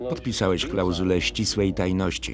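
A man's fairly slow delivery comes through noticeable background noise. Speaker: film voice-over lector. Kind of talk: film voice-over reading of dialogue.

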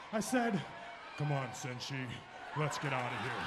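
Against loud background noise, a man puts on a gruff character voice with a fairly high pitch, speaking at a moderate pace. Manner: gruff, imitating a warrior's speech.

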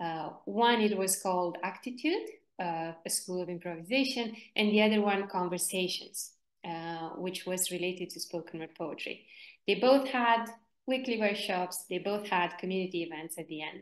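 Speaking at a moderate pace with ordinary pitch variation and big swings in loudness, a woman is heard against a quiet background with audible room echo. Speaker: workshop facilitator. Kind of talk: online workshop presentation. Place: home room. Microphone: video call.

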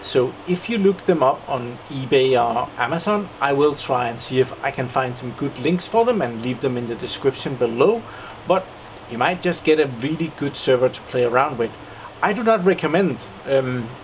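A man speaks in a Danish accent at a medium pitch and moderate pace with ordinary pitch variation, light background noise audible. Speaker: tech YouTuber. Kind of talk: hardware review walkthrough. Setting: on location in a hardware warehouse. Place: workshop. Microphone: phone near.

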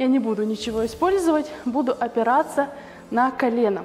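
The speech moves at a moderate pace with faint music in the background. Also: woman. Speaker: fitness instructor. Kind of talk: workout tutorial instruction. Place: gym.

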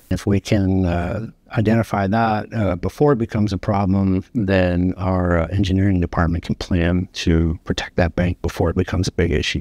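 A man's very deep, low voice with a dark, mellow tone and very even loudness, at a moderate pace, dry with no echo, over a quiet background. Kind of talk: interview answer. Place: office. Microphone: lapel.

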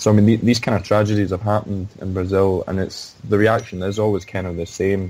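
Fairly low male voice, fairly quick and with hardly any pauses, in a monotone, flat intonation over noticeable background noise. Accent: Glaswegian. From Scotland, Glasgow. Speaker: sports journalist. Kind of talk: interview. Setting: remote call. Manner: halting.

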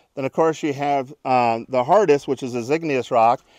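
A man speaks at a moderate pace with ordinary pitch variation. The sound is dry with no echo, and the background is quiet. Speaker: presenter. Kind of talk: demonstration tutorial. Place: open country. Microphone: lapel.

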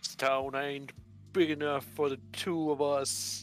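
Over clear background music, a man performs a put-on character voice at a fairly slow pace. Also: fairly high pitch for a man. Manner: dramatic.

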